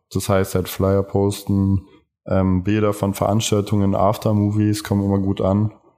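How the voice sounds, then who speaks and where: Over music in the background, a man talks. His intonation is flat and monotone. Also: moderate pace. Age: 20s. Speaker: fashion marketing student and event organizer. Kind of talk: interview.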